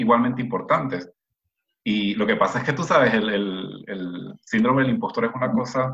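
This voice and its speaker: A man's plain, everyday voice, medium in pitch, with ordinary pitch variation and a moderate pace. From Venezuela. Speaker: researcher. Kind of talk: casual chat.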